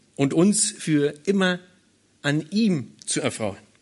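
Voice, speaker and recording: A man's fairly high pitch. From Berlin, Germany. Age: 40s. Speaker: pastor. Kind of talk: sermon. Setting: church.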